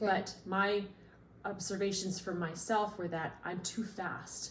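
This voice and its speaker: Speaking very slowly in a flat, monotone way, a woman with a medium-pitched voice is heard in a room with audible echo. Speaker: parent training as a family consultant. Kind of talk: casual conversation with spouse about a training project.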